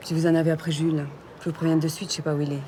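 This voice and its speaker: The speech comes at a very fast pace in a monotone, flat delivery. Noticeable background noise is present. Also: woman. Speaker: actress. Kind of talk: acting showreel of dramatic scenes.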